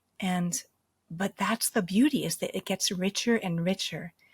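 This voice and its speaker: A woman with an American accent speaks at a moderate pace in a somewhat breathy voice. The recording is dry and close, with no echo. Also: very clean recording, silent background. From US East Coast. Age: 50s. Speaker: medicine singer and near-death experiencer. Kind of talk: interview.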